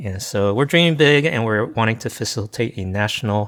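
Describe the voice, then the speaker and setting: A plain, everyday voice with an American accent moves at a moderate pace on a very clean recording with a silent background. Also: man. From US, small town. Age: 50s. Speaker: pastor and consultant. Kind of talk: casual interview.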